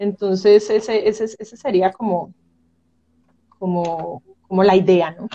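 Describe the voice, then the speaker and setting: A woman speaks at a fairly slow pace with long, frequent pauses, a dark, mellow tone and fairly even intonation. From Colombia, Medellín (Antioquia); Antioquia, Colombia. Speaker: marine biologist and museum curator; guest. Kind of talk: casual interview. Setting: video call. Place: home room.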